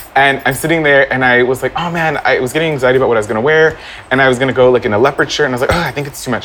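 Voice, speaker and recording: A man talks at a very fast pace with a medium pitch. Noticeable background noise is present. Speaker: actor and online personality. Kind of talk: casual chat. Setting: live recording at venue. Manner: animated.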